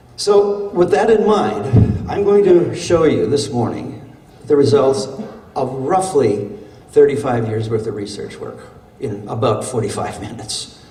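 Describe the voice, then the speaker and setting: Amid noticeable background noise and audible room echo, a man with an American accent speaks at a fairly slow pace in a fairly high pitch, with very wide pitch swings and big swings in loudness. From Wisconsin (Little Chute, Fox River Valley). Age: 70s. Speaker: professor and urban planner. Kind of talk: conference keynote speech. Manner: halting, with frequent fillers and repeats.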